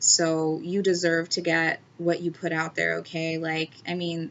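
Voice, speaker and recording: A woman speaks in a fairly low voice with a monotone, flat intonation. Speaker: tarot reader. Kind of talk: tarot reading. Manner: halting.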